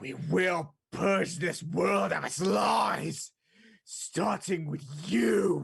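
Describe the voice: In a put-on character voice with a husky, rough edge and vocal fry, the speaker talks at a very slow pace with ordinary pitch variation.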